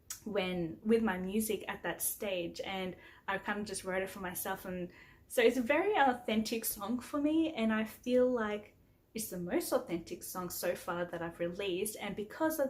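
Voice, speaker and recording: Somewhat breathy and medium in pitch, a woman with an Australian accent speaks at a moderate pace with lively intonation. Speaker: singer-songwriter. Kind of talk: casual vlog talk. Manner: casual, with frequent fillers.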